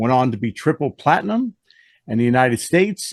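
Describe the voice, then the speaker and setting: Here a man speaks with an American accent. The sound is dry and close with no echo, and the background is quiet. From US South. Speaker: music reviewer, channel host. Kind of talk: casual chat.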